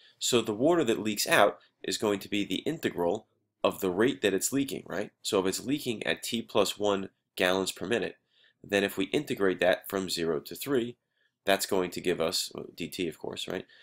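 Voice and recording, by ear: With ordinary pitch variation, a man talks at a low pitch in a fairly bright tone. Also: moderate pace.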